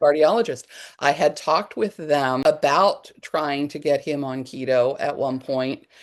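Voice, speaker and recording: Speaking at a fairly slow pace, a woman uses a very deep, low pitch against a quiet background. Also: ordinary pitch variation. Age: 50s. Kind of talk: interview answer.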